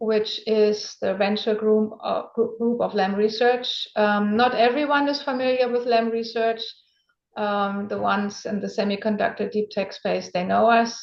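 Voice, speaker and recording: A woman with a German accent and a fairly high pitch speaks at a moderate pace with fairly even intonation. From Germany. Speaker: venture capital investor. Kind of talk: interview.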